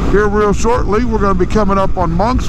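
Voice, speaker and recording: Delivery runs at a moderate pace. The sound is dry with no echo, though noticeable background noise comes through. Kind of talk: casual moto vlog chat. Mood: relaxed, enthusiastic about bike. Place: motorbike. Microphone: helmet.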